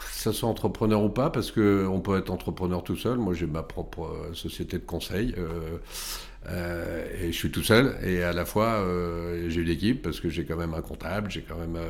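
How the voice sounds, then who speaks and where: This man's voice sits at a very deep, low pitch, with ordinary pitch variation and a moderate pace. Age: 50s. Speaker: tech company CEO. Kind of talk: interview.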